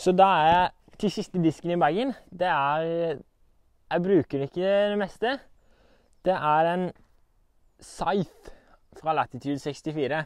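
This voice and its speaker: A high-pitched man at a very slow pace, with ordinary pitch variation, long, frequent pauses and a quiet background. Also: dry sound with no echo. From Norway. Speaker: disc golf player. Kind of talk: equipment walkthrough. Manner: casual, halting. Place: garden.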